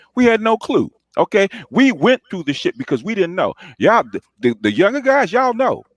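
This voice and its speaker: A man at a fairly quick pace, animated in tone, with very wide pitch swings, in a dry, close recording with no echo. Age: 60s. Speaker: panelist. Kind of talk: heated debate. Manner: halting.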